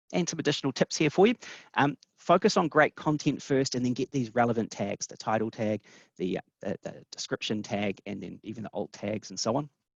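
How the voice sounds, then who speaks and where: A man with a New Zealand accent speaks at a fairly quick pace and medium pitch, with lively intonation and big swings in loudness. The sound is dry and close with no echo, over a quiet background. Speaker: webinar presenter, SEO specialist. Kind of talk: webinar presentation. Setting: online webinar. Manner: fast; many fillers and repetitions.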